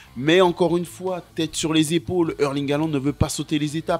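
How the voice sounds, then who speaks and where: At a moderate pace, a man talks in an animated tone with music in the background. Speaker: football YouTuber. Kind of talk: football documentary narration.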